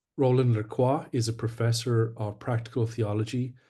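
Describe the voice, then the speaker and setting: In a Scottish accent, a man speaks at a moderate pace and medium pitch with monotone, flat intonation, a dark, mellow tone and a somewhat breathy quality, against a quiet background. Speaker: webinar host, church official. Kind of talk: formal introduction. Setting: online webinar.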